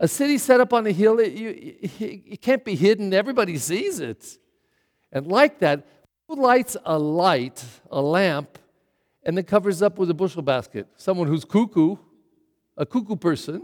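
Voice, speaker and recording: A man's high voice in an American accent, at a moderate pace with very wide pitch swings, the sound dry and close with no echo. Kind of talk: sermon. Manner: direct, conversational.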